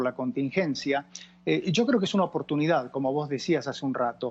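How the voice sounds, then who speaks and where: Speaking with an Argentine accent, a man moves at a fairly quick pace. His pitch is fairly high and his intonation lively. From Argentina. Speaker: doctor and expert on older people. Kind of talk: TV interview.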